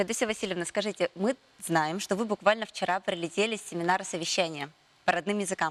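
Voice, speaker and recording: Recorded with a dry, close sound and no echo, a woman talks at medium pitch and a very fast pace. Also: ordinary pitch variation. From Yakutia. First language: Yakut (speaking Russian). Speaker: morning TV host. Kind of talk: TV interview.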